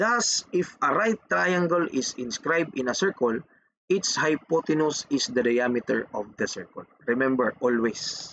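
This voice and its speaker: In a dry, close sound with no echo, a man with a fairly high pitch talks at a fairly slow pace with very wide pitch swings. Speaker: engineering math teacher. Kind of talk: lecture.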